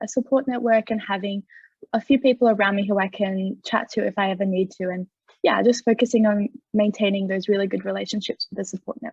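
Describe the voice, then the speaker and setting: A woman of medium pitch speaks at a fairly quick pace, somewhat breathy, with fairly even intonation. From far west New South Wales, Australia. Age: 20s. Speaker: young carer, university student. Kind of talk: panel discussion.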